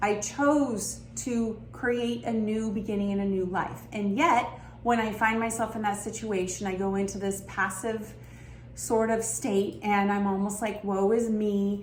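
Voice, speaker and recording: A woman's medium-pitched voice at a fairly slow pace, with fairly even intonation and noticeable background noise. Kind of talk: self-help talk to camera. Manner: reflective, earnest, conversational.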